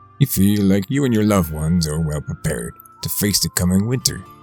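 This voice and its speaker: A man with a very deep, low pitch at a moderate pace, music in the background. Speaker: horror story narrator. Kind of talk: creepypasta horror storytelling, western campfire tale.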